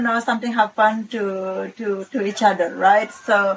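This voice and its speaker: A woman speaks at a fairly slow pace with a non-native accent, and there is noticeable background noise. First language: Balinese. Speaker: resort owner and property investor. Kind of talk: podcast interview. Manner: halting.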